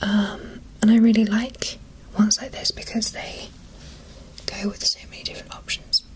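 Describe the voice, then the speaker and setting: Noticeable background noise runs through the clip. A woman whispers her words at a moderate pace. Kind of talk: ASMR makeup unboxing, talking the viewer through products. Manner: soft-spoken, whispered.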